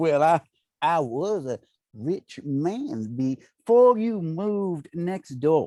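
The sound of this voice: A man's put-on character voice, fairly high-pitched with a dark, mellow tone, big pitch swings and a very slow pace, in a dry, close sound with no echo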